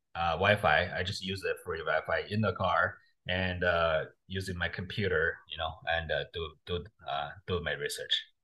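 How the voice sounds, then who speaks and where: A man with a Chinese accent speaks at a moderate pace against a quiet background. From China. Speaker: real estate investor. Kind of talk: interview. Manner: halting.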